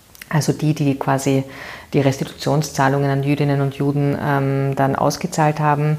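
A very deep, low-pitched woman at a moderate pace. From Vienna, Austria (Währing district). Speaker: political candidate, former NGO worker. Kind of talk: interview.

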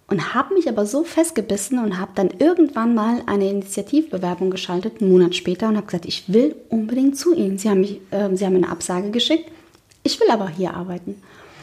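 A woman races along at a very fast pace, her intonation lively, with noticeable noise behind her. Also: medium pitch for a woman. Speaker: podcast co-host, founder. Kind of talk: casual chat.

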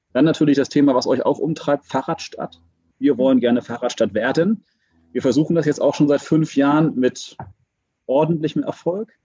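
The man's voice has a fairly high pitch and a dark, mellow tone, with very even loudness. He talks at a moderate pace, and the sound is dry and close with no echo. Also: ordinary pitch variation. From Hamburg. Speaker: city transport senator. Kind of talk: casual interview.

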